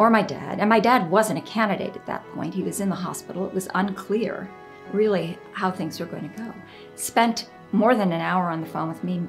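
The voice moves at a moderate pace with ordinary pitch variation and big swings in loudness. Faint music sits in the background. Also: woman. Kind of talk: interview answer. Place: home room.

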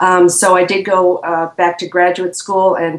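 With audible room echo, a woman speaks at a fairly low pitch with fairly even intonation. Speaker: interview guest. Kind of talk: interview answer. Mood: reflective, earnest. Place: home room. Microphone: video call.

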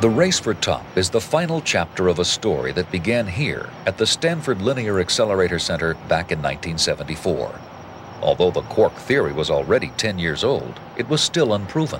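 Over noticeable background noise, a man talks at a moderate pace with a fairly low pitch and very wide pitch swings. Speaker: documentary narrator. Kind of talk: 1990 TV science documentary narration, scripted and read. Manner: measured, authoritative, formal, steady pace.

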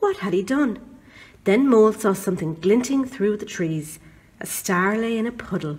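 The clip features an unforced reading voice.

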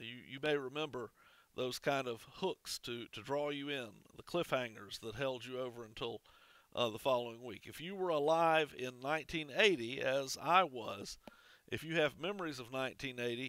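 A man speaks at a moderate pace with a bright, sharp tone and ordinary pitch variation, his voice dry with no echo against a quiet background. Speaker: minister. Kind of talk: sermon. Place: church. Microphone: headset.

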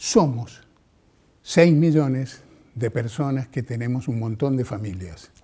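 A man speaks very slowly in a dark, mellow, somewhat breathy tone with ordinary pitch variation. Long, frequent pauses break his speech against a quiet background. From Mendoza, Argentina. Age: 70s. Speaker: television journalist. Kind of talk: interview monologue. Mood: warm, reflective, engaged. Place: studio. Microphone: lapel.

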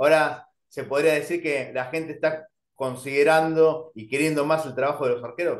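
This man's fairly high pitch comes at a moderate pace.

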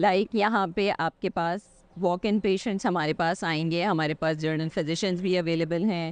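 A woman speaks at a fairly slow pace in a fairly low voice. Her tone is clear and smooth, with ordinary pitch variation.

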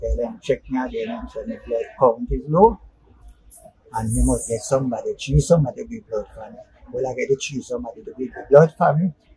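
Someone speaks at a fairly quick pace over light background noise, with big swings in loudness. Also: man. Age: 60s. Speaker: interviewee telling his story. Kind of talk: interview answer. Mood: earnest, animated storytelling. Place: street. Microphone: phone near.

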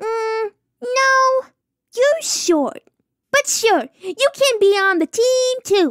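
A woman puts on a cartoonish character voice at an extremely high pitch. She talks at a very slow pace. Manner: cheerful, bubbly, blunt.

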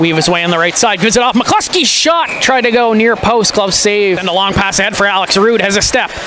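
An excited man speaks in a high, raised, projected voice with ordinary pitch variation and hardly any pauses. The sound is dry with no echo, though noticeable background noise is present. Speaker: hockey play-by-play announcer. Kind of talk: live sports commentary, play-by-play call of a hockey game. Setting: arena broadcast, streamed online. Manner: rapid-fire, clipped play-by-play that swells into excited goal calls. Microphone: headset.

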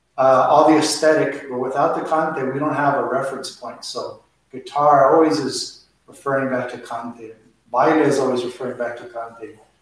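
A man speaks with flat, monotone intonation. Strong room echo surrounds his voice. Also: moderate pace. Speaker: flamenco dance teacher. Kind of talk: lecture. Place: hall. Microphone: camera far.

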